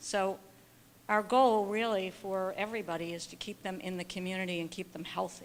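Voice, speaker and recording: A woman with a plain, everyday voice, medium pitch, fairly even intonation, and moderate pace. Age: 60s. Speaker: audience member, long-time care professional. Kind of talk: audience question. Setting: symposium audience.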